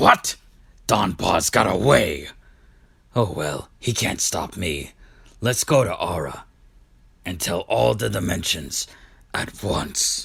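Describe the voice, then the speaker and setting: In a put-on character voice, a man speaks raspy and very deep at a fairly slow pace, with very wide pitch swings and long, frequent pauses. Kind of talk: comic abridged parody. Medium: fan dub. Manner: smug, self-assured.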